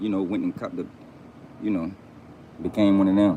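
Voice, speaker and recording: A man with an American accent and a dark, mellow tone. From Fort Pierce, Florida. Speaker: YouTuber commentator. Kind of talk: casual monologue to camera.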